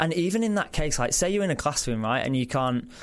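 A man talks with a Yorkshire accent. His pace is very fast. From Yorkshire, northern England. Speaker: mental health organization product manager. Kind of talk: interview. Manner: frequent ums, conversational.

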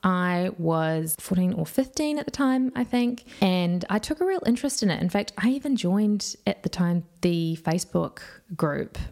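In a New Zealand accent, a woman speaks at a fairly slow pace. Her intonation is lively. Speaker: true crime youtuber. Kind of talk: scripted narration.

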